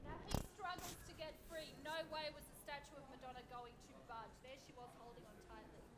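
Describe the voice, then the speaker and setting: A woman's high pitch at a moderate pace, hardly any pauses, and loud background noise. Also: ordinary pitch variation. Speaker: tour guide. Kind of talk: storytelling tour narration. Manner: animated, spooky storyteller pacing with dramatic pauses; conversational, wry and laughing. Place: street. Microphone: camera far.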